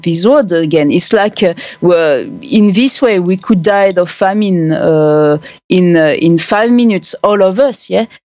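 With a French accent, a woman talks at a fairly slow pace and a medium pitch, her dark, mellow tone carrying lively intonation. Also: very even loudness. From France. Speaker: human rights activist and blogger. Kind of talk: interview. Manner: halting.

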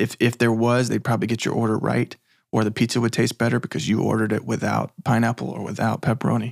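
Over a silent background in a very clean recording, a man speaks at a very fast pace with vocal fry. His medium-pitched voice sounds dry and close, with no echo. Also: fairly even intonation. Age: 30s. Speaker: filmmaker. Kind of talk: interview.

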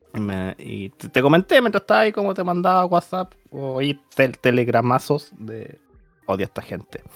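Over music in the background, a man with a Chilean accent talks at a moderate pace and a fairly high pitch with very wide pitch swings, in a dry, close sound with no echo. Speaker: podcast host. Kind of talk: casual chat.

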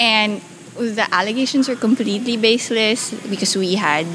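There is noticeable background noise behind this woman. She speaks at a moderate pace with ordinary pitch variation. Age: 30s. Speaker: social entrepreneur. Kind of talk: interview. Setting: at her home.

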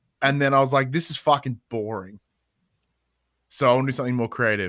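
With an Australian accent and a bright, sharp tone, a man speaks at a moderate pace and medium pitch, with ordinary pitch variation and long, frequent pauses, on a very clean recording with a silent background. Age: 30s. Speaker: podcast host and games journalist. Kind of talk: casual chat.

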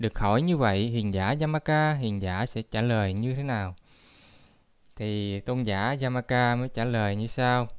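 Recorded very cleanly against a silent background, a man with an ordinary speaking voice talks at a medium pitch and a fairly slow pace, with ordinary pitch variation. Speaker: Buddhist lecturer. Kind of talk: lecture.

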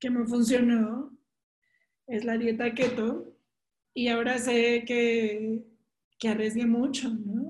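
Speaking at a very slow pace with a Mexican accent, a woman uses a fairly high pitch and monotone, flat intonation. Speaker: podcast co-host. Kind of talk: casual chat.

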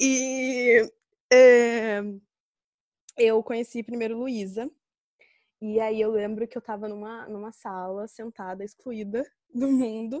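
Against a quiet background, a woman with fairly high pitch speaks at a very slow pace with long, frequent pauses, fairly even intonation and big swings in loudness, the sound dry and close with no echo. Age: 20s. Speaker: podcast co-host. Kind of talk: casual chat. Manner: laughs a lot.

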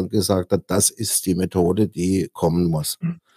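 A man at a fairly slow pace with ordinary pitch variation and a dark, mellow tone, in a very clean recording with a silent background and a dry, close sound with no echo. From Kaiserstuhl, Baden (southwest Germany). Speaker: organic farming entrepreneur. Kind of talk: interview conversation.

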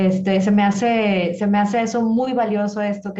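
A woman speaks in a flat monotone at a moderate pace, her pitch medium. Her tone is dark and mellow, somewhat breathy. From Monterrey, northern Mexico. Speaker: dance promoter. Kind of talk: interview.

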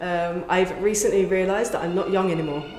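With an English accent, a woman speaks at a medium pitch and a fairly quick pace, her intonation fairly even. Room echo and noticeable background noise can be heard. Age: 30s. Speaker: content creator. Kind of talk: interview.

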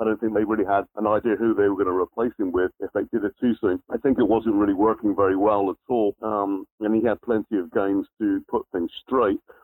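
Monotone, flat intonation in an English accent, at a fairly quick pace with hardly any pauses. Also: man, fairly low pitch for a man. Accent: English accent, noted by the host. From southern England (near Southampton). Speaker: football fan caller. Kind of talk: casual phone chat. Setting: phone call.

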